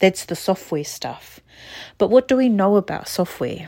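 In a New Zealand accent, a woman speaks at a medium pitch. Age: 40s. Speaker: podcast host and therapist. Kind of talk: casual monologue.

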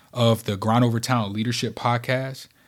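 The delivery moves at a moderate pace. The recording is very clean, with a silent background. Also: man. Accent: American. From rural Kentucky, US South. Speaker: podcast host, leadership speaker. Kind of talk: solo motivational podcast monologue.

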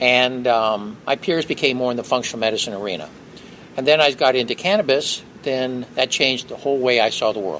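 A man with a medium pitch moves at a fairly quick pace, his pitch shifting in an ordinary way. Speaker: physician. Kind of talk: interview explanation. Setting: expo hall. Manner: fast.

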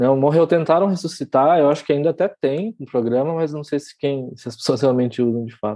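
This man has a fairly high voice with a dark, mellow tone and ordinary pitch variation. He talks at a fairly quick pace with hardly any pauses. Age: 30s. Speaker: crypto writer. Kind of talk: casual chat. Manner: halting.

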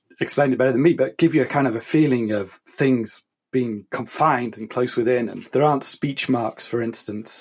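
An English accent marks this man's speech. His pitch is medium and his pace moderate. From England. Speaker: podcast co-host, publisher. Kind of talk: casual chat.

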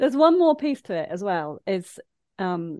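A woman speaks with an East Midlands accent at a medium pitch. Her voice swings very widely up and down. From English Midlands (Leicester). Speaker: life coach. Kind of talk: casual interview chat.

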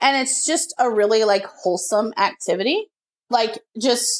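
Against a quiet background, a woman speaks in an animated tone. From small-town Texas. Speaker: podcast co-host. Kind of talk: casual chat.

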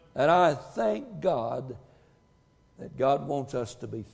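A man's fairly high voice at a very slow pace, lively intonation, with audible room echo. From Tennessee. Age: 70s. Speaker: pastor. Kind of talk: sermon.

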